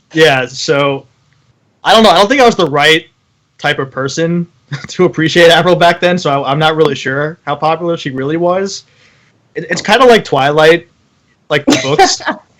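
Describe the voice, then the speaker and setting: Speaking at a moderate pace, a man uses a fairly high pitch with ordinary variation. Long, frequent pauses break up his speech. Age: 20s. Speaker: podcast host. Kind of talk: casual chat. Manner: hesitant, many fillers.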